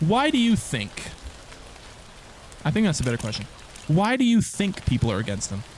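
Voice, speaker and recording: A man's high voice at a fairly quick pace, with very wide pitch swings, long, frequent pauses and noticeable background noise. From Canada. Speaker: gaming streamer. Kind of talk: live stream chat. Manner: casual, repetitive stammering.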